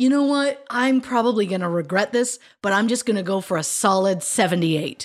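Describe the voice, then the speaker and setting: Fairly high in pitch, a woman with a Canadian accent has an ordinary speaking voice and lively intonation. She keeps a fairly quick pace at very even loudness. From Canada, Ontario. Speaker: true crime podcast co-host. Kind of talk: casual chat. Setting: video call.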